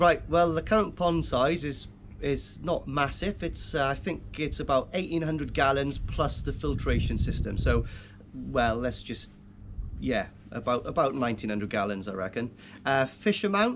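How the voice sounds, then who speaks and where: Speaking with a Welsh accent, a man uses lively intonation. His pitch is medium. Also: moderate pace. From Wales, Llanelli. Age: 40s. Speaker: koi keeper, tattoo artist. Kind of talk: interview. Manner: hesitant, many fillers.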